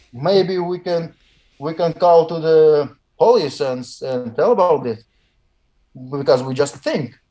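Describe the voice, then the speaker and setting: A man with a Russian accent speaks at a fairly high pitch in a dark, mellow tone. His pace is fairly slow, with long, frequent pauses. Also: ordinary pitch variation. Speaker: weightlifter. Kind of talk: interview. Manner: halting.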